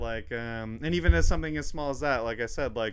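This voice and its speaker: A man mumbles at a very fast pace. His pitch varies in an ordinary way. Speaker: podcast host. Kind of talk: casual chat. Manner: mumbling.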